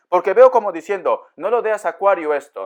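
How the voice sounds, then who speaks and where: Very fast, animated speech from a man with a high pitch over a quiet background. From Peru, Áncash (Pomabamba). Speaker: tarot reader. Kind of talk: tarot reading.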